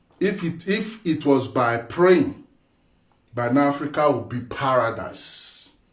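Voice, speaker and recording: A man speaks at a very slow pace in a fairly high voice, somewhat breathy, with lively intonation. Audible room echo surrounds his voice. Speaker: spiritual teacher. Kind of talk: monologue talk. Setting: live video. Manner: animated.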